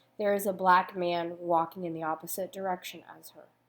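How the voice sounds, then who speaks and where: A woman with an ordinary speaking voice and medium pitch talks at a moderate pace with an American accent. The recording is very clean, with a silent background. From United States. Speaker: youth ministry speaker. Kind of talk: prepared talk.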